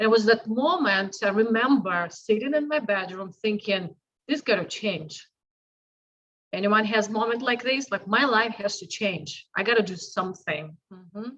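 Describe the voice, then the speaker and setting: Speaking at a moderate pace with a Russian accent, a woman uses a fairly high pitch. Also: ordinary pitch variation. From Russia, Saint Petersburg. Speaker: health and fitness coach. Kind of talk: interview testimony.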